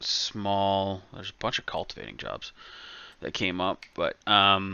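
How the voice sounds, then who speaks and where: This man mumbles at a fairly slow pace with a fairly low pitch. His intonation is monotone and flat. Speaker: gaming streamer. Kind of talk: casual gameplay chat. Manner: mumbling.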